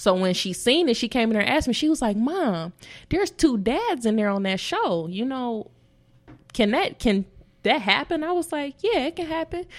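A woman with an American accent speaks at a moderate pace, her high pitch moving in very wide swings. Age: 30s. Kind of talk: casual chat.

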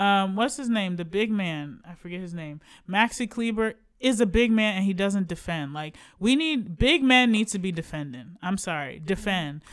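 An ordinary speaking voice with lively intonation moves at a moderate pace, its loudness swinging widely on a very clean recording with a silent background. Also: woman, medium pitch for a woman. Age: 30s. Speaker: sports podcast co-host. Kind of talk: casual chat. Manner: laughs often.

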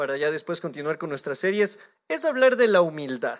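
A man's voice moves in very wide pitch swings. The background is quiet. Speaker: radio announcer and guest preacher. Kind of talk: sermon.

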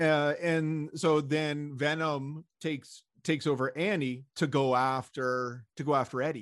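On a very clean recording with a silent background, a man with a plain, everyday voice talks at a fairly slow pace and a fairly high pitch in a Canadian accent. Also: fairly even intonation. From Montreal, Canada. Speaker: podcast co-host. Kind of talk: casual chat.

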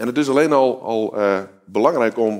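Here is a man with a plain, everyday voice. He talks at a moderate pace with lively intonation. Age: 30s. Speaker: guest preacher. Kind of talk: sermon. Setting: video recording shown in church.

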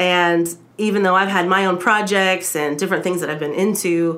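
A woman speaks at a medium pitch, and audible room echo surrounds her words. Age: 30s. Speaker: podcast host. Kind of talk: casual chat. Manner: halting.

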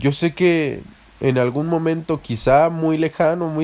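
A man with a fairly high pitch talks at a very slow pace using fairly even intonation. The recording is very clean with a silent background. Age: 20s. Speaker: podcast host. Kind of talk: casual monologue.

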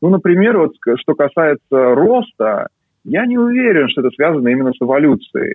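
A man speaks at a moderate pace with a fairly high pitch and very wide pitch swings. His loudness stays very even. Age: 30s. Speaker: neuroscientist. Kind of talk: interview. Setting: video call.

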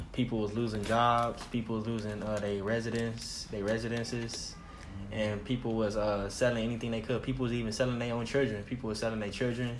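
Through audible room echo and noticeable background noise, a man at a medium pitch talks fairly quickly in a monotone, flat intonation. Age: 20s. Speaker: podcast co-host. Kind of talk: casual chat.

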